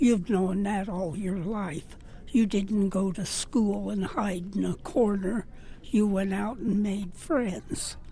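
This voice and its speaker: Speaking at a very slow pace, a woman with a medium pitch has a somewhat breathy voice and a dark, mellow tone. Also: ordinary pitch variation. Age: 90s. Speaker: rancher advocate, senior center regular. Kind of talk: interview.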